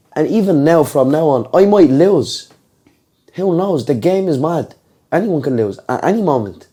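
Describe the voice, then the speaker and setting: In a Dublin accent, a man speaks at a moderate pace with lively intonation. His voice is dark and mellow, with a fairly high pitch. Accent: Dublin Irish accent, compared to McGregor's. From Ireland, Dublin. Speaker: MMA fighter. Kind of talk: podcast interview.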